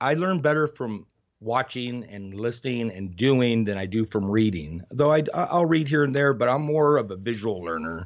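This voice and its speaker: A man with an unremarkable speaking voice talks at a medium pitch and a moderate pace. His intonation is lively, and he hardly pauses. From Arizona, US Southwest. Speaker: heavy equipment operator and street photographer. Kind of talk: interview.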